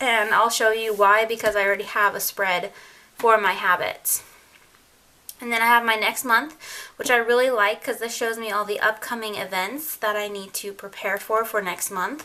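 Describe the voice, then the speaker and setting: Here a woman has an unremarkable speaking voice, pitched fairly high. Her pace is moderate and her intonation fairly even. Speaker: lifestyle vlogger. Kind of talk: casual tutorial.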